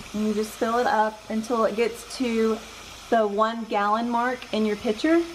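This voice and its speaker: A woman speaks in a Southern US accent at a moderate pace. Her intonation is fairly even, with noticeable background noise behind her. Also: fairly high pitch for a woman. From Georgia, US South. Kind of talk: cooking tutorial talk to camera.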